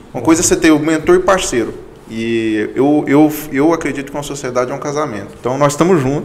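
A man talks at a very fast pace with a fairly high pitch and ordinary pitch variation. Noticeable background noise and audible room echo fill the recording. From Goiânia, Goiás, Brazil. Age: 20s. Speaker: accounting firm partner. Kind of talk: casual interview chat.

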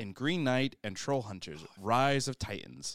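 At a moderate pace, a man speaks at medium pitch, the sound dry and close with no echo. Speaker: podcast host. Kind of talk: casual chat. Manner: animated.

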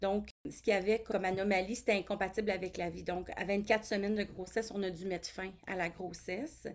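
A woman speaks at a fairly quick pace with hardly any pauses and big swings in loudness. Her medium-pitched voice carries vocal fry. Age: 40s. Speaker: college teacher and parent of a child with a rare syndrome. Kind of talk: interview testimony.

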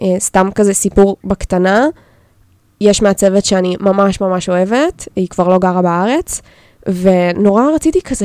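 An unremarkable speaking voice with lively intonation. The sound is dry and close, with no echo. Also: woman. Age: 20s. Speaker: illustrator and graphic designer. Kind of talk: casual chat.

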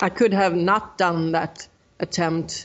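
A woman with a Swedish accent, her pitch fairly low and her intonation fairly even. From Sweden. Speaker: ultra runner. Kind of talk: interview.

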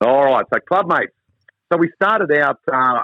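A moderate pace with a dry, close sound and no echo. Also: man.

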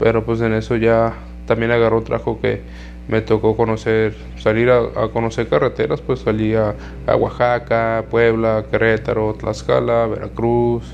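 Music playing behind a man's fairly slow speech. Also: very even loudness. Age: 20s. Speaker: podcaster. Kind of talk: casual monologue.

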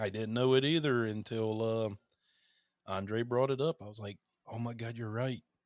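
A man with a Southern US accent, a moderate pace and fairly even intonation, in a dry, close sound with no echo. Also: medium pitch for a man. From North Carolina, US South. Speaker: horror podcaster and content creator. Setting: remote call.

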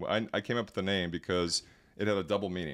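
A man talks at a very fast pace in a very deep, low pitch. The recording is very clean, with a silent background. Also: dry, close sound with no echo. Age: 40s. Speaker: venture capitalist and entrepreneur. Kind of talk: casual interview. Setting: podcast studio.

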